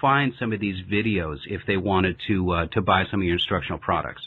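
A man talks at a fairly quick pace with a fairly low pitch. He has an unremarkable speaking voice. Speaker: podcast host. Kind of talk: casual interview. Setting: remote call.

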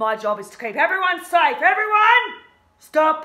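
Against a quiet background, a woman speaks in a raised, projected voice. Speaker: teacher acting a character. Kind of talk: in-character teaching demonstration. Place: classroom. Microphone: phone near.

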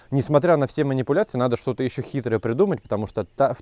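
This man talks very fast with lively intonation and a dark, mellow tone. The sound is dry with no echo, and the background is quiet. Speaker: rural video blogger, beekeeper; rural video blogger. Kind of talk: casual vlog narration.

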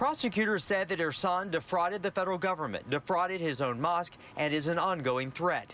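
A man's high-pitched voice at a fairly quick pace, with hardly any pauses and very even loudness, in a dry sound with no echo and light background noise. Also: ordinary pitch variation. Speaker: TV news reporter. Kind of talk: news report. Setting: outdoors.

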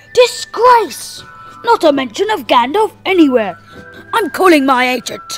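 Someone talks at a moderate pace in a put-on character voice. Faint music plays in the background. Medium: short film. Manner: grave, then indignant.

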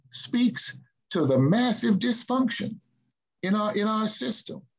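A man speaks with lively intonation at a fairly slow pace. The background is quiet. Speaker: panelist. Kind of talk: discussion commentary. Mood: emphatic political opinion. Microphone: video call.

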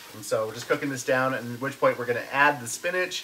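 With light background noise behind him, a man talks with ordinary pitch variation. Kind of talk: cooking tutorial. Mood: cheerful, relaxed. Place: kitchen.

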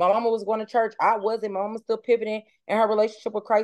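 A woman at a very fast pace against a quiet background. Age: 30s. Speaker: mother of four, podcast guest. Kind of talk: casual chat. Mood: earnest, heartfelt. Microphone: video call.

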